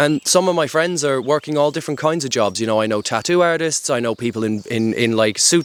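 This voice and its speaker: A man with an Irish accent at a fairly quick pace, medium in pitch, with ordinary pitch variation. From Ireland. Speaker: outdoor adventure vlogger. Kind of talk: casual monologue to camera. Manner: conversational, filler-heavy.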